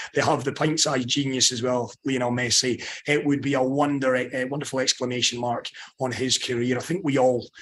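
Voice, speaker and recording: At a fairly quick pace, a man with a strong Scottish accent talks at a medium pitch. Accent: thick Scottish. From Scotland. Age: 30s. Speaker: sports journalist. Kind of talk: panel interview. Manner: animated.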